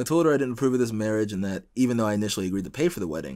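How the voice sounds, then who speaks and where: A man's fairly low voice at a very fast pace, with very wide pitch swings, over a quiet background. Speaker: podcast host. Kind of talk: casual chat. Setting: studio. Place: home room. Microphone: studio mic.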